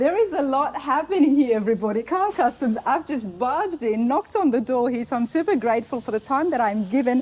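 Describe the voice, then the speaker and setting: Over noticeable background noise, a woman with an Australian accent and a high pitch races along at a very fast pace with hardly any pauses, her tone animated and her intonation lively. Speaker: automotive video host. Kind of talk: shop tour walkthrough. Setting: car restoration shop.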